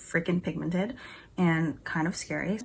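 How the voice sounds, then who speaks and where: A woman speaks at a moderate pace with vocal fry and a fairly low pitch. The recording is very clean, with a silent background. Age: 20s. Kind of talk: casual talk to camera. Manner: chatty.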